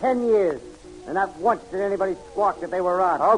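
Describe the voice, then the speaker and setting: A man puts on a gruff, loud character voice, pitched high. He speaks at a moderate pace. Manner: gruff, loud, threatening.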